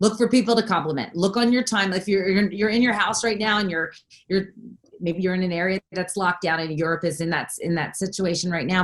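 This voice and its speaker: A woman speaks with an East Coast American accent. She goes at a very fast pace, with ordinary pitch variation. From US East Coast, Philadelphia. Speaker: network marketing coach. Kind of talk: casual chat.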